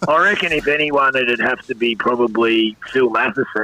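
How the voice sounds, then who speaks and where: Noticeable background noise sits behind this man with an Australian accent. His pitch is medium and his pace moderate. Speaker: former football player and coach. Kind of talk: podcast interview. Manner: halting, many fillers.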